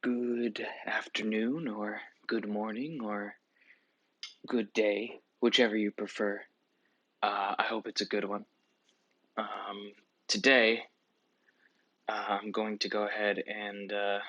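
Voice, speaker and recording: A soft-spoken man talks at a fairly slow pace and a fairly low pitch. He leaves long, frequent pauses. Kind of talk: ASMR soft-spoken book show-and-tell.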